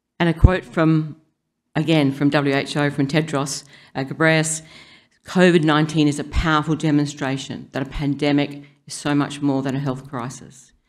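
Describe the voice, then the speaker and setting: A woman's very deep, low voice with an Australian accent, monotone, flat intonation and audible room echo. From South Australia. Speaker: public health scientist. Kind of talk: conference talk. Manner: fast.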